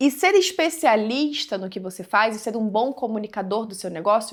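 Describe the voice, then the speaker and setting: Her intonation lively, a woman speaks at a fairly quick pace. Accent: Brazilian. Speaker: digital business mentor. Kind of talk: tutorial. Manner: casual, conversational.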